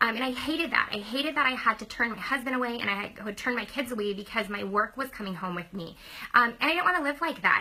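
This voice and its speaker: Amid noticeable background noise, a woman with a fairly high pitch talks very fast in an animated tone with lively intonation. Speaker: former teacher turned direct-sales business owner. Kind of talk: sales pitch.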